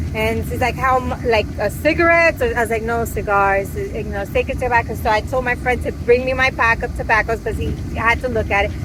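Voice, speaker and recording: The speech runs at a fairly quick pace with hardly any pauses, over noticeable background noise. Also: woman. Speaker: travel vlogger. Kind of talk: casual chat. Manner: fast.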